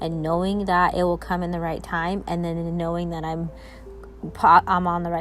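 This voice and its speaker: A woman's voice with music in the background. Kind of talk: personal voice memo, spiritual reflection. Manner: hesitant, with pauses and stumbles.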